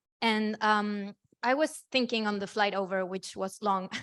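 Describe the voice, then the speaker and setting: A woman with a Spanish accent speaks at a moderate pace in a flat monotone. The recording is very clean and dry, close with no echo, over a silent background. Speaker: activist. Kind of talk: panel discussion. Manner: halting.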